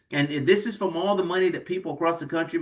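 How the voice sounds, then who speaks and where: A man with an American accent speaks in an animated tone. His pitch sits high. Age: 60s. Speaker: financial seminar presenter. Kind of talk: sales pitch.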